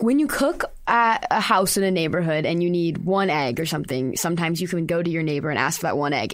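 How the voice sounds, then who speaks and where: With lively intonation and a medium pitch, a woman talks fairly quickly in a normal speaking voice. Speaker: student intern and interviewer. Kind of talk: interview. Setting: studio.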